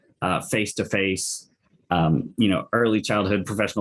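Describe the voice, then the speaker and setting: This is a normal speaking voice with fairly even intonation, moving at a moderate pace. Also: man. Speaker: local early childhood council member. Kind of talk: webinar presentation.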